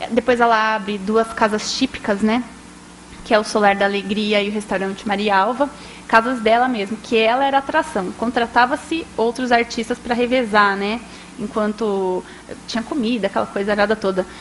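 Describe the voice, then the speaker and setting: A woman's fairly high voice, with fairly even intonation, comes through noticeable background noise. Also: moderate pace. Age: young. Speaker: journalist and radio historian. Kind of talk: public talk, storytelling. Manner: conversational, frequent fillers.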